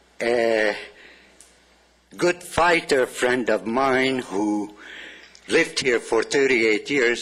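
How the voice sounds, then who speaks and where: A man speaks with a Hungarian accent and ordinary pitch variation. Noticeable background noise can be heard. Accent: old Hungarian. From Transylvania. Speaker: public commenter. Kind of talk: public comment.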